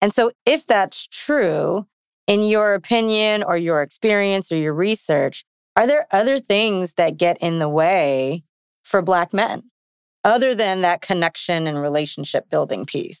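A woman speaks at a medium pitch and a fairly slow pace, with lively intonation in a dry, close sound with no echo. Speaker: podcast host. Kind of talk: casual interview chat. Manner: animated, upbeat.

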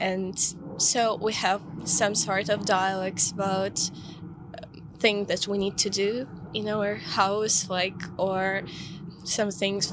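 A woman's voice with a medium pitch. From Ukraine, Kyiv. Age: 20s. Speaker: student. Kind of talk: interview. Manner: halting.

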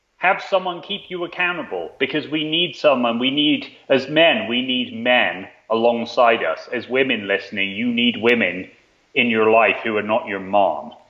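In a slight British accent, a man speaks at a moderate pace in a medium pitch with lively intonation. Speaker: author and performance writer. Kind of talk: casual interview chat.

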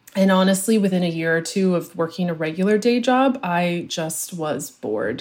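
A woman with an ordinary speaking voice, fairly low in pitch, at a moderate pace with lively intonation and hardly any pauses. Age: 30s. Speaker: social media marketing coach. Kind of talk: interview.

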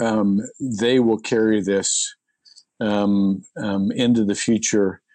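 A man at a medium pitch, at a very slow pace. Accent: American. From US Midwest. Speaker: pastor. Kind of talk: interview.

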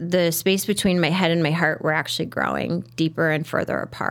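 A woman speaks in a normal speaking voice, fairly low in pitch, with ordinary pitch variation. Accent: American. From Chicago South Side. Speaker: fitness instructor and yoga teacher. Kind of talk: interview.

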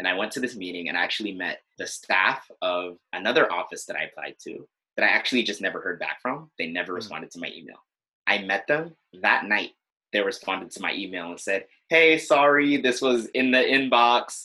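A man with a Californian accent talks at a fairly quick pace in a bright, sharp tone, his medium pitch carrying lively intonation while his loudness swings widely. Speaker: former student body president. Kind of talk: interview conversation.

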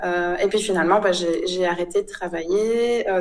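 A woman with fairly even intonation. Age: 30s. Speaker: photographer. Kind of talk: interview. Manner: hesitant, many fillers.

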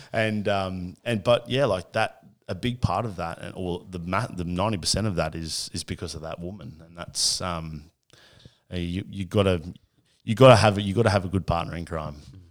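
A man's very deep voice with an Australian accent, at a moderate pace with big swings in loudness, on a very clean recording with a silent background. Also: ordinary pitch variation. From Australia, Cessnock NSW. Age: 30s. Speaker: athlete manager and podcaster. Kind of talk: casual interview.

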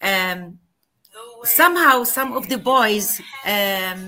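In an Arabic accent, a woman speaks with a fairly high pitch, a bright, sharp tone and ordinary pitch variation. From Palestine. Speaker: author and professor. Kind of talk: interview. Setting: video call.

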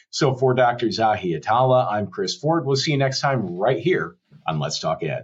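Very wide pitch swings move around a man's medium pitch. His voice is somewhat breathy, at a moderate pace. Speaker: podcast host. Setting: video podcast recording.

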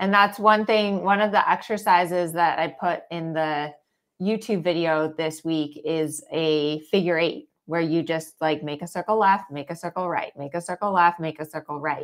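A woman with an unremarkable speaking voice talks at a moderate pace, her pitch fairly low and her intonation fairly even, on a very clean recording with a silent background. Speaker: dressage trainer and podcast host. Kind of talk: live Q&A chat. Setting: Facebook live stream.

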